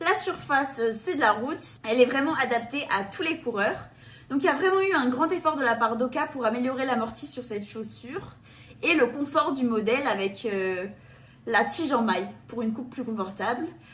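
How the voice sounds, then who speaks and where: A woman with a high pitch speaks with lively intonation over noticeable background noise. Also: moderate pace. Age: 20s. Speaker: running shoe reviewer. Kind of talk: product review presentation.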